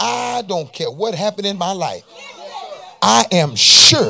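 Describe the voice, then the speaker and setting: An animated tone at a fairly slow pace, with crowd noise in the background. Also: man. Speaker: preacher. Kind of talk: sermon. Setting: church with congregation. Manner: animated, call-and-response, pulpit-style preaching with rising intensity; exhorting the congregation with rhetorical questions and repetition.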